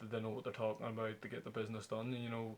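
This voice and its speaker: This is a man speaking. He has a Northern Irish accent. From Belfast, Northern Ireland. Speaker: professional footballer. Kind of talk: interview answer. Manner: affable, relaxed.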